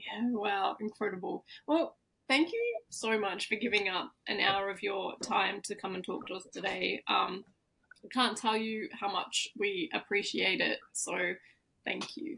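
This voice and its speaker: A woman with an Australian accent at a medium pitch and a fairly slow pace, with a bright, sharp tone, vocal fry and ordinary pitch variation. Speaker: podcast host. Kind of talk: casual interview chat.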